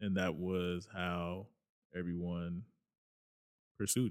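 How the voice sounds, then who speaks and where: A man with a very deep, low pitch and an American accent. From Los Angeles area (Inglewood, Compton). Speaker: education program director, former school counselor. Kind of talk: interview conversation.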